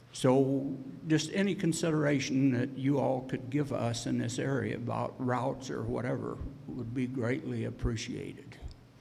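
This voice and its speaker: A man speaks at a moderate pace with an American accent. Room echo is audible. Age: 70s. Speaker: landowner. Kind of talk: public hearing testimony. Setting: public hearing.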